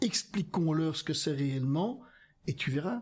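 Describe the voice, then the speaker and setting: The recording is very clean, with a silent background. A man speaks at a moderate pace and a fairly high pitch. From Flanders, Belgium. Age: 60s. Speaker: politician. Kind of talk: casual chat. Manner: halting.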